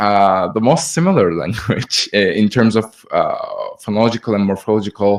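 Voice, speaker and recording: A man with a Turkish accent speaks at a fairly slow pace. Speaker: audience member asking a question. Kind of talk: audience question. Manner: halting, many fillers.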